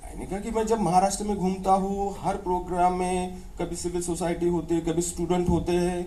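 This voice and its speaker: A high-pitched man with a Maharashtrian accent, monotone and flat, at a moderate pace with hardly any pauses, amid audible room echo and noticeable background noise. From India, North Maharashtra, village near Dhule. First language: Ahirani. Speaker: professor. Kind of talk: public conversation.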